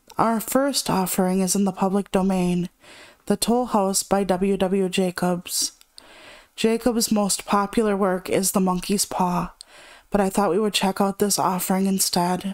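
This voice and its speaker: A woman with an unremarkable speaking voice, medium pitch, fairly slow pace, very even loudness and fairly even intonation. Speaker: horror story narrator. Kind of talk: casual introduction to listeners.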